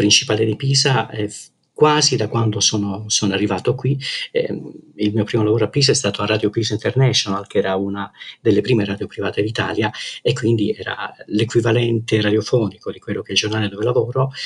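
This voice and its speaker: A man talks at a fairly quick pace, yet with long, frequent pauses. His medium-pitched voice is somewhat breathy, with fairly even intonation. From Calabria, southern Italy. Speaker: journalist. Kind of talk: interview. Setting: remote call. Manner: hesitant, many fillers.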